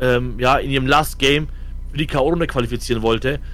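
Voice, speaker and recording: With audible room echo and noticeable background noise, a man speaks at a moderate pace in a fairly high pitch, his intonation fairly even. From Franconia, Germany (Fürth). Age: 30s. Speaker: esports coach. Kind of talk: casual chat.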